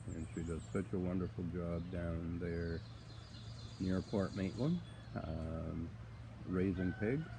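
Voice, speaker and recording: Soft-spoken and somewhat breathy, a man with a very deep, low pitch and a dark, mellow tone talks at a very slow pace with long, frequent pauses amid audible room echo. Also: ordinary pitch variation. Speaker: farmer. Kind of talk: casual live-stream chat. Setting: outdoors on a farm. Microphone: too quiet, viewer asks him to speak up.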